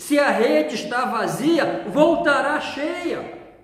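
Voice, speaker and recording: A man speaks very slowly in a room with audible echo and noticeable background noise. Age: 60s. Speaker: pastor. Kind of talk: sermon.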